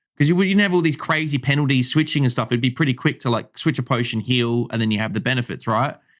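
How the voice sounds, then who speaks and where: Over a very clean recording with a silent background, a man with an Australian accent talks at a very fast pace with hardly any pauses, medium pitch and ordinary pitch variation. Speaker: gaming content creator and streamer. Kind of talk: casual chat. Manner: halting, many repeated words.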